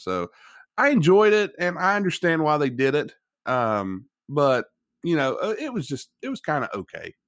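A man with an Appalachian accent speaks with very wide pitch swings. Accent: West Virginian, Appalachian. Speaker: podcast host and wrestling fan. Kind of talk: casual chat.

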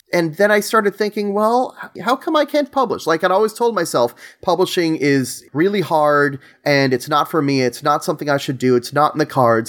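With a New York accent, a man talks at a fairly quick pace with a high pitch, very wide pitch swings and very even loudness, in a very clean recording with a silent background. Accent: New York area American. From New York, Long Island. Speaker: board game designer. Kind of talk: casual interview.

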